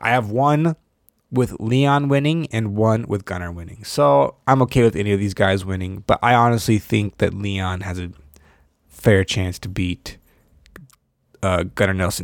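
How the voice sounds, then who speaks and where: A man talks with lively intonation. He has a plain, everyday voice. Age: 20s. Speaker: podcast host. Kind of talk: casual solo commentary.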